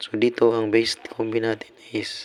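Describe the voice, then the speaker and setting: A man speaks at a very slow pace with a fairly low pitch. Noticeable background noise sits behind him. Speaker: lottery tips streamer. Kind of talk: casual livestream tips. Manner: casual, repetitive fillers.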